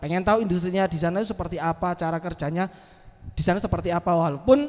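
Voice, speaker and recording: In a strong Javanese accent, a man with a high pitch talks at a very fast pace with an animated tone and lively intonation. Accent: thick Javanese (medok). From East Java, Malang. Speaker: comedian and MC. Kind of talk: casual chat.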